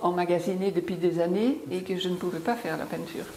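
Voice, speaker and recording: A woman with a slight English accent and fairly low pitch, at a fairly slow pace with fairly even intonation, amid noticeable background noise and audible room echo. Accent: slight English-tinged accent in French. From Belgium. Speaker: painter. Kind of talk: interview. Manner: hesitant, many fillers.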